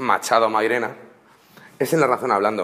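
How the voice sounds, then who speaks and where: The voice is a man's. It holds a medium pitch. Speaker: university student. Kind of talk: class presentation. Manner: fast; halting.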